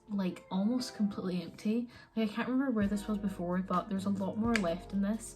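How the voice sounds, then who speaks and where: Over music in the background, a woman at a medium pitch talks at a fairly quick pace with fairly even intonation and hardly any pauses. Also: very even loudness. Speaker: beauty vlogger. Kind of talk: makeup tutorial. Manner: casual, filler-heavy.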